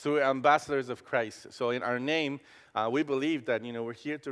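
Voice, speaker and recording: A man with a Costa Rican accent, medium pitch and fairly even intonation. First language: Spanish. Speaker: campus pastor. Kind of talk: sermon. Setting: church. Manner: halting.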